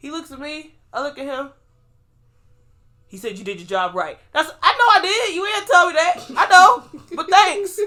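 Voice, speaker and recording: A woman speaks in a raised, projected voice with a bright, sharp, animated tone. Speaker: podcast co-host; pharmacy worker. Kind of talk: casual chat. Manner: fast.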